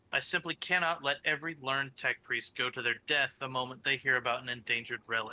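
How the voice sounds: A natural reading voice carries the text. It stays that way from start to finish.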